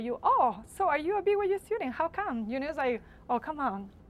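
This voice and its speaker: Over noticeable background noise, a woman talks very fast with very wide pitch swings. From Latin America. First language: Spanish. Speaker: university student. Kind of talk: interview.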